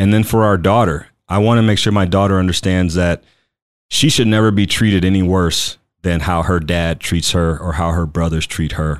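A man's very deep, low voice at a moderate pace, with fairly even intonation and very even loudness, on a very clean recording with a silent background. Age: 40s. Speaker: podcast host. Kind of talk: personal monologue. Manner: casual, with frequent fillers.

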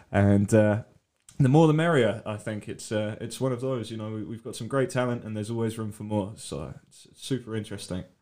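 A man with a British accent and a dark, mellow tone talks at a fairly quick pace, with ordinary pitch variation and big swings in loudness. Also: medium pitch for a man. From UK. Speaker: art gallery co-founder. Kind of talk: interview. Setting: studio.

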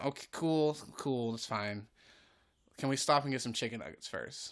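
A man with a plain, everyday voice speaks in an American accent at a moderate pace and medium pitch, with ordinary pitch variation. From North Carolina (Greensboro). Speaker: improv comedian and actor. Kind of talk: casual chat. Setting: at home.

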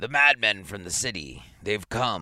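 A man's raspy, put-on character voice, raised and projected, at a fairly slow pace, on a very clean recording with a silent background. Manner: crying out.

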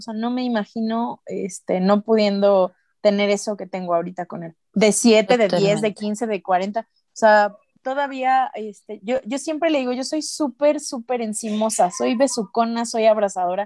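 On a very clean recording with a silent background, a woman with a Mexican accent speaks at a fairly slow pace and fairly high pitch in a dark, mellow tone, with big swings in loudness and hardly any pauses. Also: ordinary pitch variation, dry, close sound with no echo. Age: 30s. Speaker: podcast host. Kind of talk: casual chat.

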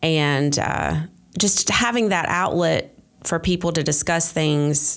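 A woman in an Appalachian accent speaks slowly-ish at a fairly slow pace with a fairly low pitch. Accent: Southern US (Appalachian North Carolina). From western North Carolina, Polk County. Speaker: Facebook group moderator. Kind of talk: interview. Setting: public library.

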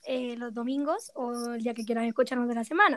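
A woman talks at a fairly quick pace. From Málaga, Andalusia, Spain. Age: 20s. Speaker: podcast co-host, fashion stylist. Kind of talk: casual chat.

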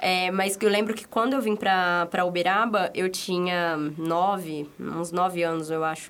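A woman is speaking at a fairly slow pace. Her pitch sits in the medium range. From São Paulo, Brazil. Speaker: podcast co-host. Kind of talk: casual chat.

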